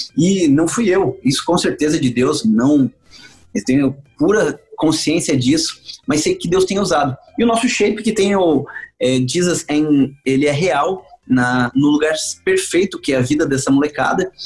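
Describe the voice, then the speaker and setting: Over music in the background, a man with a fairly high pitch speaks at a fairly slow pace with lively intonation. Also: very even loudness. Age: 40s. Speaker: evangelist pastor. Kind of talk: casual interview.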